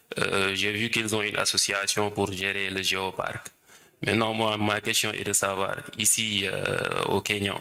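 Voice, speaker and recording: A man's fairly low, monotone voice with flat intonation, amid noticeable background noise. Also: moderate pace. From Senegal. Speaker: workshop participant. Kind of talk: audience question.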